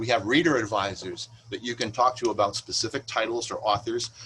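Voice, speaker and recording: A man's fairly quick speech comes through with noticeable background noise. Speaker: librarian. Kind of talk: presentation. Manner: fast.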